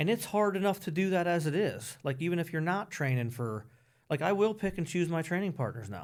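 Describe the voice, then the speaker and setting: In a Pennsylvania accent, a man with a high pitch talks at a fairly quick pace with lively intonation, recorded very cleanly against a silent background. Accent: Pennsylvania American. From Pennsylvania (Emmaus, near Allentown). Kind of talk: podcast interview. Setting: studio.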